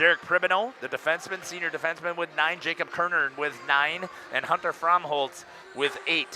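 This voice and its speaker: With an American accent, a man talks at a moderate pace in a high pitch, his intonation fairly even, over noticeable background noise. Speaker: hockey play-by-play announcer. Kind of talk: pre-game sports commentary. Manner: halting with fillers.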